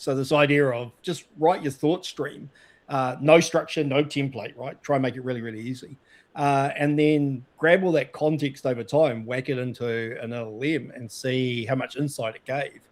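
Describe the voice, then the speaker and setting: At a moderate pace and with fairly even intonation, the voice swings widely in loudness on a very clean recording with a silent background. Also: man, fairly high pitch for a man. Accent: New Zealand. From New Zealand. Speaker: data consultant and show host. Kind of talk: casual chat.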